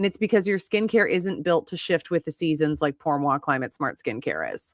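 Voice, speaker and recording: Animated and lively in intonation, a woman with a fairly low pitch talks at a fairly quick pace in a dry, close sound with no echo and a very clean recording over a silent background. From Minnesota. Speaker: skincare brand host. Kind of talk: live-stream chat.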